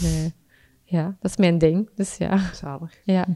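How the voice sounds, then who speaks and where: A woman with a Flemish accent at a medium pitch, on a very clean recording with a silent background. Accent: Flemish Dutch. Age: 30s. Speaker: freelance copywriter and amateur marathon runner. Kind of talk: casual interview. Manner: halting, many fillers and repetitions.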